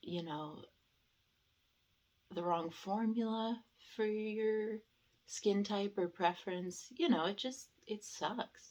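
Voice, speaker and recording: Quiet speech at a very slow pace, with long, frequent pauses and ordinary pitch variation. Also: woman, medium pitch for a woman. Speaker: beauty vlogger. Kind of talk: casual product review vlog. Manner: quiet, keeping voice down; hesitant, many fillers.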